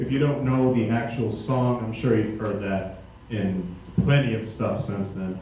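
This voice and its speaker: With noticeable background noise and audible room echo, a man speaks at a fairly slow pace. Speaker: pianist. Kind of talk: spoken introductions at a concert. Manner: halting, many fillers.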